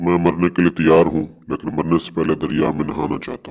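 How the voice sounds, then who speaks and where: A man's cartoonish character voice at a very deep, low pitch. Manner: fearful.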